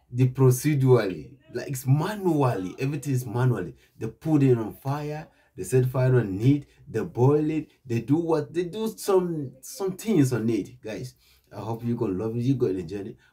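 Somewhat breathy and dark, mellow in tone, a man speaks at a moderate pace with lively intonation. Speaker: reaction channel host. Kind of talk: casual vlog chat. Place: home room.

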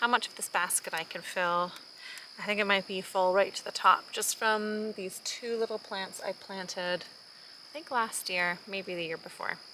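Over light background noise, a woman with a bright, sharp tone speaks at a moderate pace, with ordinary pitch variation and big swings in loudness. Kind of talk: casual vlog chat. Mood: warm, enthusiastic. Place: garden. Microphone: phone near.

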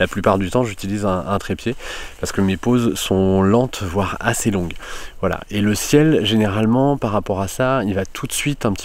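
A man with a normal speaking voice and a fairly low pitch talks at a moderate pace with ordinary pitch variation. The sound is dry, with no echo. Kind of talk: tutorial. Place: forest. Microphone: phone near.

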